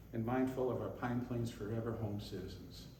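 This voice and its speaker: With an American accent, a man speaks at a medium pitch and a moderate pace. Audible room echo and noticeable background noise are present. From upstate New York. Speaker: local election candidate. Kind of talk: campaign speech. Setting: public forum in a community room. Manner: partly read from notes.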